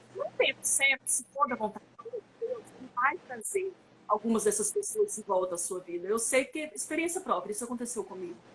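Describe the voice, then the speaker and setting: A high-pitched woman talks fairly quickly with very wide pitch swings and big swings in loudness, against noticeable background noise. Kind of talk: online conference talk. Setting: online live stream.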